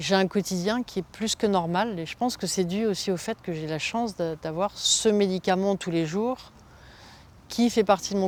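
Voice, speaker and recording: A woman with a medium pitch keeps a moderate pace and fairly even intonation. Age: 60s. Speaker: cancer patient. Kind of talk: testimony. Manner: halting, many fillers.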